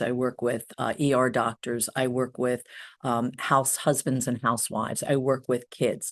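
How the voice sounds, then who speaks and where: In a quiet setting, a woman with a New Jersey accent speaks at a moderate pace in a very deep, low voice. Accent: New Jersey American. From US Northeast, New Jersey. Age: 60s. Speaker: hypnotherapist. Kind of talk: interview. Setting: podcast.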